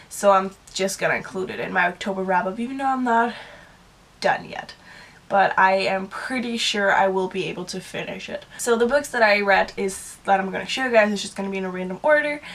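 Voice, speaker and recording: A woman speaks at a fairly quick pace, her loudness swinging widely. Her pitch is medium with ordinary variation, over noticeable background noise. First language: Danish. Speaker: book vlogger. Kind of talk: casual monologue.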